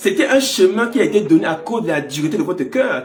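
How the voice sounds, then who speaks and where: The pitch swings very widely at a moderate pace. Noticeable background noise and audible room echo fill the recording. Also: man. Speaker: pastor. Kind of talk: sermon.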